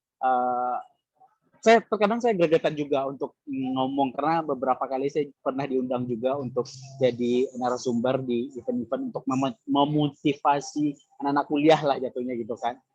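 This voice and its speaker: In a Minangkabau accent, a man talks at a moderate pace with a fairly high pitch and ordinary pitch variation. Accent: Minang. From West Sumatra, Minangkabau. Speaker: content creator, former radio announcer. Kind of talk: panel talk at virtual career expo.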